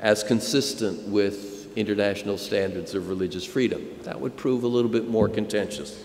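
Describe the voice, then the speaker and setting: With an American accent, a man speaks at a moderate pace in a fairly low pitch, his intonation fairly even. He leaves hardly any pauses over noticeable background noise. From United States. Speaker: professor. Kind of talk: lecture. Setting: conference stage with audience.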